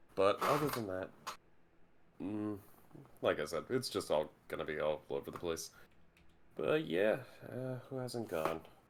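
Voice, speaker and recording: A fairly low-pitched man at a fairly slow pace, very wide pitch swings, long and frequent pauses, and noticeable background noise. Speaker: tabletop roleplay player. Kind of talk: casual chat. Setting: live stream.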